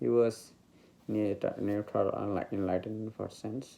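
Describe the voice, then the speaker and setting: With a Bengali accent, a man speaks at a moderate pace. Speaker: meditation teacher. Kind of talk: spiritual talk. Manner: halting.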